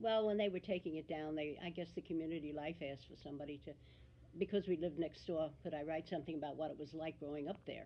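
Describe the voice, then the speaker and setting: A woman with an American accent, very deep and low in pitch, talking at a very fast pace with fairly even intonation. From New Jersey. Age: 80s+. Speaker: local resident interviewee. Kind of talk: oral history interview.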